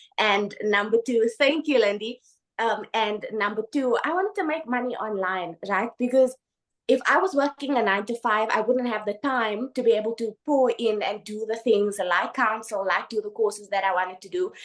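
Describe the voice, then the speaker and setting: Her pitch sits fairly high, with ordinary variation. This woman speaks at a moderate pace. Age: 20s. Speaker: online business testimonial speaker. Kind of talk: testimony. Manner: animated.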